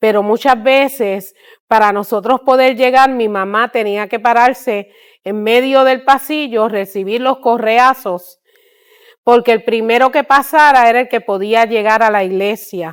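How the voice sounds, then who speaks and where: In a very clean recording with a silent background, a woman with an ordinary speaking voice talks at a fairly slow pace, her pitch fairly high and her intonation fairly even. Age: 60s. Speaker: missionary. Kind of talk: testimony.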